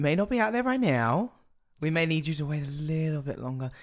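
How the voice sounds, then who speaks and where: Lively intonation marks this man's unremarkable speaking voice, pitched fairly high. The recording is very clean, with a silent background. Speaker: drag queen podcaster. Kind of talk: casual chat.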